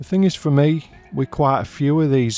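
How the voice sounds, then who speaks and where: With a Northern English accent, a man talks in fairly even intonation while music plays in the background. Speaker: comic book reviewer. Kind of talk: casual review talk to camera.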